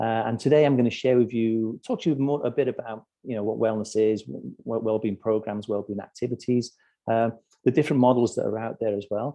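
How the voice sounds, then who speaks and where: A man talks quite quickly in a British accent. His pitch is medium and his intonation fairly even. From UK. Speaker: corporate wellbeing strategist. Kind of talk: webinar presentation. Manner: halting, many repetitions and fillers.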